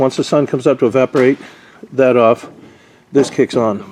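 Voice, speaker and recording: The pitch varies in an ordinary way over noticeable background noise. The sound is dry and close, with no echo. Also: man. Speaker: RV roof repair tradesman. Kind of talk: casual tutorial walkthrough. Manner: fast.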